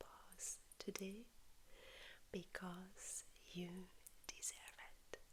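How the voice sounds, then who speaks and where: A woman whispers at a very slow pace. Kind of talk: ASMR haul, soft spoken and whispered show-and-tell. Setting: lives in Spain. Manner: soft-spoken, relaxing, slow.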